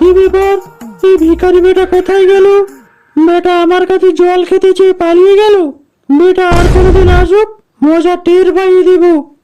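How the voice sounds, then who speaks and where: In a cartoonish character voice pitched extremely high, a woman speaks at a moderate pace with flat, monotone intonation and very even loudness while faint music plays behind her. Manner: scolding, rude.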